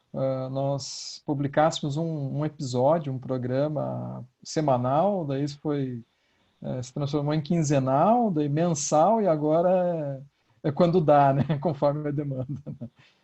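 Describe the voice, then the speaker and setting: This man has a fairly high pitch and a dark, mellow tone, speaking at a fairly slow pace with ordinary pitch variation. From Curitiba, Paraná, southern Brazil. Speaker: philosophy professor and podcaster. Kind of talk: online panel discussion. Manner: hesitant, many fillers.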